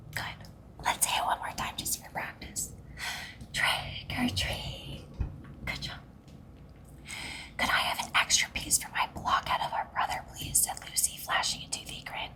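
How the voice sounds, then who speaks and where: A woman whispers at a fairly slow pace with long, frequent pauses. Noticeable background noise is present. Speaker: ASMR storyteller reading to children. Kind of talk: children's bedtime story reading. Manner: whispered, soft.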